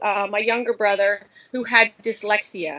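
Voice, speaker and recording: A woman with a Philadelphia accent, fairly high in pitch, at a fairly slow pace with ordinary pitch variation. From Philadelphia, US. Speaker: high school Spanish teacher. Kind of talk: podcast interview.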